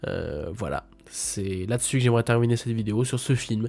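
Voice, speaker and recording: On a very clean recording with a silent background, a man speaks at a moderate pace with a dark, mellow tone, medium pitch and ordinary pitch variation. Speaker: film critic youtuber. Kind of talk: video review monologue. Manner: hesitant, many fillers.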